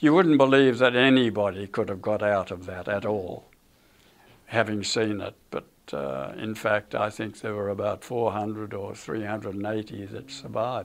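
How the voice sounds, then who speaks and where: A man with an Australian accent, fairly low in pitch, at a moderate pace with ordinary pitch variation. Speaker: war veteran. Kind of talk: interview answer. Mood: somber reflective. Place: studio.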